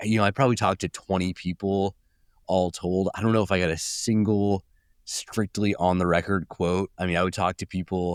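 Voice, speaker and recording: With a Californian accent, a man speaks at a very deep, low pitch in a monotone, flat delivery at very even loudness, the sound dry and close with no echo on a very clean recording over a silent background. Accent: California. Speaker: journalist. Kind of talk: podcast interview. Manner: halting, many fillers and repeats.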